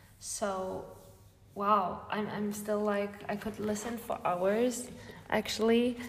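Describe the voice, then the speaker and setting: A woman's fairly high, monotone voice with flat intonation at a very slow pace, with audible room echo. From southern Spain. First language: Spanish. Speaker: podcast host. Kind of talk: interview conversation. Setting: gallery, in person. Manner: halting, repetitive.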